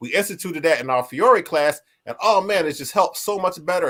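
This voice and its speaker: A man speaks at a moderate pace with ordinary pitch variation. The recording is very clean, with a silent background. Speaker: martial arts association vice president, show host. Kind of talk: live stream talk. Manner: loud.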